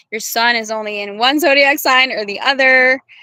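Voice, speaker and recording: A woman's high, bright, sharp voice at a moderate pace with fairly even intonation, in a very clean recording with a silent background. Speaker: tarot reader and livestreamer. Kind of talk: casual livestream chat. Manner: sometimes garbled words.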